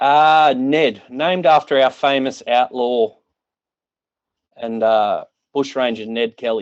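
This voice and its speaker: Speaking very slowly with an Australian accent, a man at a medium pitch uses ordinary pitch variation and takes long, frequent pauses. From Australia, regional Victoria. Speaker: caller, car detailer. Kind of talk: casual chat.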